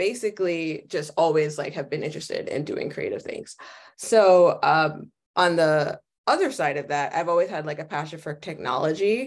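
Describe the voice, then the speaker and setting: A woman with an American accent speaks at a moderate pace with a fairly low pitch. It is a normal speaking voice, heard against a quiet background. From New York City, the Bronx. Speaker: visual designer; guest. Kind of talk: guest lecture. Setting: video call. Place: home room. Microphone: headset.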